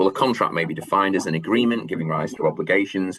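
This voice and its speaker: A man with a Manchester accent talking at a very fast pace over noticeable background noise. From northern England, Manchester. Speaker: law lecturer. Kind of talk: lecture. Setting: video call webinar. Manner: hesitant, many fillers.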